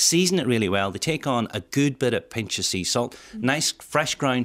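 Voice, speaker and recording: In an Irish accent, a man with a medium pitch talks at a moderate pace with lively intonation, the sound dry and close with no echo on a very clean recording with a silent background. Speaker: chef. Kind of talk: cooking tips on radio. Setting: radio studio. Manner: animated.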